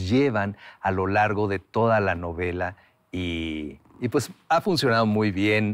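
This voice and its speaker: Over a silent background in a very clean recording, a man talks at a very slow pace. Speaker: writer and voice actor. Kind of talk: interview answer.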